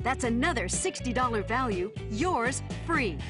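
A woman's upbeat voice at a moderate pace, with music in the background. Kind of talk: TV infomercial read. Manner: upbeat, salesy.

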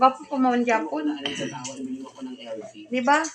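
Music plays behind a woman with a high pitch. She speaks at a very slow pace. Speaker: vlogger interviewing her grandmother. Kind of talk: casual vlog talk to camera.

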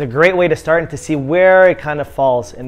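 At a fairly quick pace, a man talks with a Canadian accent. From Ottawa, Canada; Canada. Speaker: hockey advisor, video host. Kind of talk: casual youtube tutorial. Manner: animated. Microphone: lapel.

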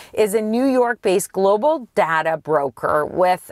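Recorded with a dry sound with no echo over a quiet background, a woman speaks at a fairly slow pace. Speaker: car show co-host. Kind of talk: casual explanatory chat. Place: car. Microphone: camera far.

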